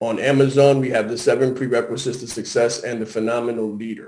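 A man's normal speaking voice with an American accent, medium in pitch, at a moderate pace with fairly even intonation. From Harlem, New York. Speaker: business strategist and brand consultant. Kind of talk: interview.

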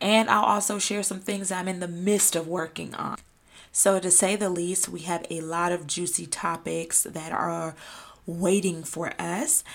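Speaking with an American accent, a woman with a fairly low pitch keeps a fairly slow pace and fairly even intonation. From US South, Atlanta, Georgia. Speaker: podcast host and lifestyle content creator. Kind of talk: solo podcast monologue.

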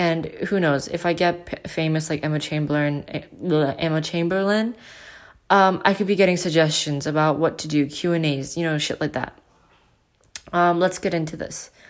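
At a moderate pace, a woman speaks with a low pitch and fairly even intonation.

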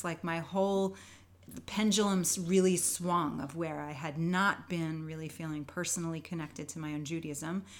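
At a moderate pace, a woman with a plain, everyday voice speaks at a fairly low pitch with ordinary pitch variation. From New York. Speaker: dancer and Zumba teacher. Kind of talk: casual interview chat.

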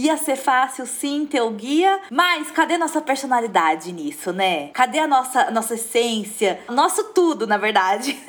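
High-pitched and animated, a woman speaks at a moderate pace with very wide pitch swings. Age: 30s. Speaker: fashion influencer. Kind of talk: casual chat.

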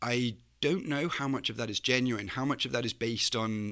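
With a northwest English accent, a man of medium pitch speaks in a bright, sharp tone with ordinary pitch variation on a very clean recording with a silent background. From northwest England, Chester. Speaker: graduate student, Leave voter. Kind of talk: interview.

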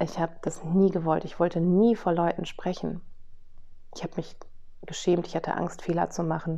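A woman with a fairly low pitch talks at a moderate pace in a dark, mellow tone, her intonation monotone and flat, broken by long, frequent pauses. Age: 40s. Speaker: podcast host and business coach. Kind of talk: personal storytelling monologue. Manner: casual with frequent fillers.

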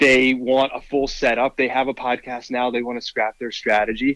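In a normal speaking voice, a man talks at a moderate pace and medium pitch, with a dry, close sound with no echo. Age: 30s. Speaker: founder and CEO of a sports podcast network. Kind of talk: interview.

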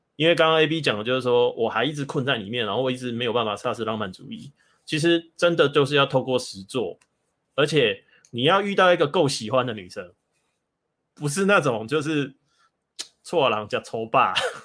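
A man speaks at a fairly quick pace with lively intonation, yet with long, frequent pauses. The recording is very clean, the background silent. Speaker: bookstore owner and dating commentator. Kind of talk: casual chat.

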